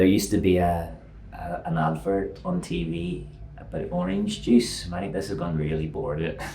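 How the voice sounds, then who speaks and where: With a Northern Irish accent, a man speaks at a moderate pace in a very deep, low pitch, his voice making very wide pitch swings amid audible room echo and noticeable background noise. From Northern Ireland. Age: 50s. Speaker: fitness coach. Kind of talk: podcast interview.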